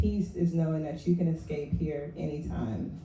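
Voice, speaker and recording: Quiet and somewhat breathy, a woman with an American accent speaks in a dark, mellow tone at a fairly low pitch with fairly even intonation, and audible room echo. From West Virginia. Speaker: poet. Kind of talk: poetry reading. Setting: open mic stage with audience. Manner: low, quiet voice.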